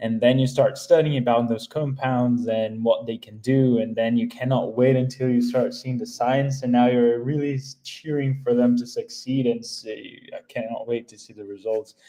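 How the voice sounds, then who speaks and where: A man's dark, mellow voice at medium pitch, with monotone, flat intonation. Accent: non-native. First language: not English. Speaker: community member. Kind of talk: casual livestream chat. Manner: halting.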